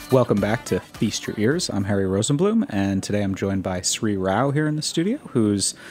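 A man's medium-pitched voice in an American accent, against noticeable background noise. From New York City area. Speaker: podcast host. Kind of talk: show intro and outro; interview. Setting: studio.

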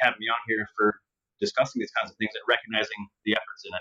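Dry and close with no echo, the recording captures a man with an American accent talking very fast with lively intonation. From Minnesota. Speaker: hemp fiber materials specialist. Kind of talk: interview. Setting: remote call via web app. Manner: halting, frequent word repetitions.

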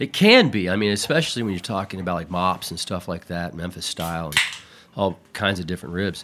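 A man speaks fairly quickly with a very deep, low pitch and fairly even intonation. His tone is bright and sharp. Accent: American. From Houston, Texas. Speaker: barbecue pitmaster. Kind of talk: casual chat.

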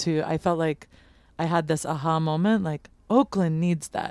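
A woman with an American accent in an ordinary speaking voice, fairly low in pitch, at a moderate pace with fairly even intonation, on a very clean recording with a silent background. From United States. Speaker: chef and bakery owner. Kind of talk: interview. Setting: live broadcast from a trailer at a food festival.

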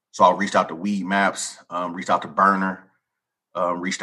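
A man at a very deep, low pitch, bright, sharp tone, and fairly quick pace, in a quiet background. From US West Coast, East Oakland, California. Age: 40s. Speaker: cannabis dispensary owner. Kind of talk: interview.

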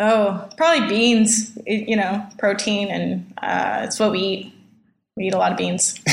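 A woman with an American accent at a fairly slow pace, her intonation fairly even, with audible room echo. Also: medium pitch for a woman. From Southern California. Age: 20s. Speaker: homesteading hopeful in a couple's dispute. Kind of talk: casual chat.

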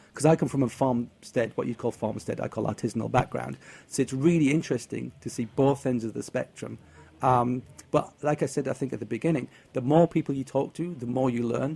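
Fairly quick speech with a northeast English accent and a dark, mellow tone. There is vocal fry and ordinary pitch variation. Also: man, medium pitch for a man. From northeast England. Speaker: cheese tour organizer. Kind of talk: casual chat.

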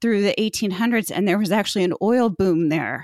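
A woman talks at a medium pitch with ordinary pitch variation. The recording is very clean and silent in the background, with a dry, close sound and no echo. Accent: Midwestern American. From Indiana. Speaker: podcaster and blogger. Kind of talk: casual interview.

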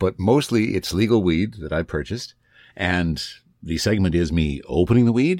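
A man with vocal fry and lively intonation, on a very clean recording with a silent background. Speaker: podcaster and voiceover artist. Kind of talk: casual interview. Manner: polished broadcaster delivery.

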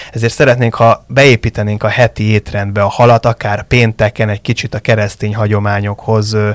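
The recording is very clean with a silent background and a dry, close sound with no echo, as a man uses an ordinary speaking voice at a medium pitch and a moderate pace. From Budapest, Hungary. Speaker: fish farming industry association director. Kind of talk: interview.

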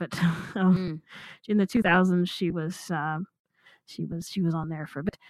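This woman has a normal speaking voice with fairly even intonation and fairly low pitch, recorded very cleanly against a silent background in a dry, close sound with no echo. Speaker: audiobook commentator. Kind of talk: casual chat discussing a narrator.

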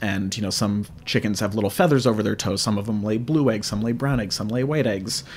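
This is a man speaking. He has an unremarkable speaking voice. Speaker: museum curator. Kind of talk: interview conversation.

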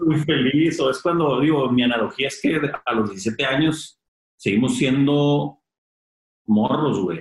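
A man speaks at a fairly slow pace with a fairly high pitch. His voice is somewhat breathy, and his intonation is lively. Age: 30s. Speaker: clothing brand founder. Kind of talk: casual interview chat.

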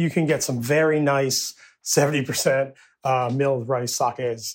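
A man's ordinary speaking voice, medium in pitch, with an American accent. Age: 50s. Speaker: sake brewer and brewery owner. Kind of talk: casual interview.

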